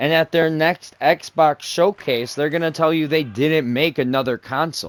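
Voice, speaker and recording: In an unremarkable speaking voice, a man talks at a moderate pace and fairly high pitch with fairly even intonation, recorded dry and close with no echo. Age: 20s. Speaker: gaming YouTuber. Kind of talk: casual commentary over gameplay. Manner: rambling, self-correcting.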